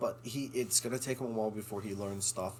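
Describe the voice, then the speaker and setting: A man's voice with vocal fry and fairly even intonation. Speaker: actor. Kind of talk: casual chat.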